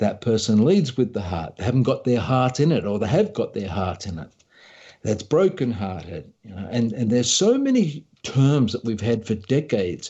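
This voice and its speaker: Fairly quick and with lively intonation, a man with an Australian accent speaks in a somewhat breathy voice. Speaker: leadership coach and author. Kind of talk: interview.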